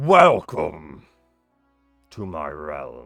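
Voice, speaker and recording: A booming, put-on character voice from a man with a very deep, low pitch, faint music in the background. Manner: commanding.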